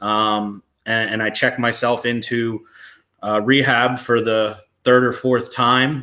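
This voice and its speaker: A man with a New Jersey accent speaks at a medium pitch in a bright, sharp tone, his intonation fairly even, on a very clean recording with a silent background. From New Jersey (Brick / Toms River). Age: 30s. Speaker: person in addiction recovery. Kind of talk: personal testimony. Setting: live stream.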